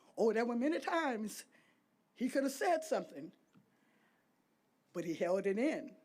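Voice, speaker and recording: With an American accent, a woman speaks at a fairly high pitch, her voice making very wide pitch swings. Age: 80s+. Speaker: speaker at a memorial unveiling, daughter of honoree. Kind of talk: prepared tribute speech.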